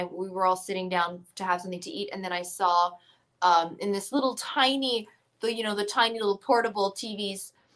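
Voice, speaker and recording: A woman with a normal speaking voice talks at a moderate pace and medium pitch, keeping her intonation fairly even. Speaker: musician. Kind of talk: casual chat. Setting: video call.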